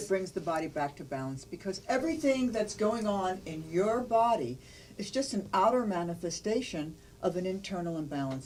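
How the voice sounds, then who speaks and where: The speaker moves at a moderate pace with very wide pitch swings, over noticeable background noise. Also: woman. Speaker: nutrition presenter. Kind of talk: infomercial product pitch.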